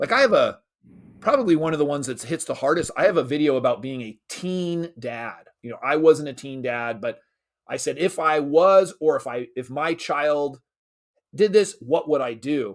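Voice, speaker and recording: A man with an energetic tone and lively intonation shows big swings in loudness, captured in a very clean recording with a silent background. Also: fairly high pitch for a man, moderate pace. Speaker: creator of an online school for dads, internet marketer. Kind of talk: interview conversation.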